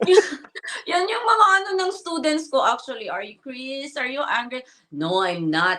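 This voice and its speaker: With very wide pitch swings and big swings in loudness, a woman speaks at a moderate pace in a high, raised, projected voice. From Philippines. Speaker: English teacher. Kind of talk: casual interview.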